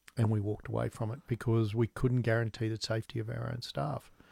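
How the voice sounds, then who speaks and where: A man with an Australian accent, medium pitch, fairly even intonation and a fairly quick pace, in a very clean recording with a silent background and a dry, close sound with no echo. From Australia, Newcastle. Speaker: business founder. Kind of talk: interview. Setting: studio.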